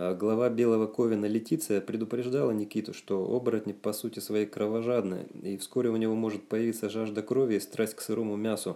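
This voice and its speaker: The voice has a dark, mellow tone and fairly even intonation, moving at a fairly quick pace with hardly any pauses. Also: man, fairly low pitch for a man. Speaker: author reading his own book. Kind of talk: reading aloud. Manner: plain, not like a TV announcer; expressive intonation.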